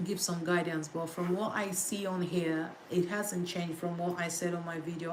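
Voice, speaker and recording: At a moderate pace, a woman speaks in a fairly low voice against noticeable background noise. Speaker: litigation solicitor. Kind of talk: casual study-with-me livestream talk to viewers. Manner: relaxed, conversational.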